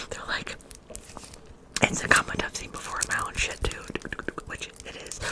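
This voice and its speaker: A woman is whispering, with long, frequent pauses and big swings in loudness. Noticeable background noise is present. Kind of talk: ASMR soft-spoken rambles to camera. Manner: fast, chatty, repetitive.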